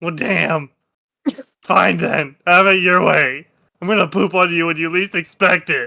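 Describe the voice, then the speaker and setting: A man puts on a strained, raspy character voice, high in pitch. He speaks at a moderate pace. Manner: mocking, defiant.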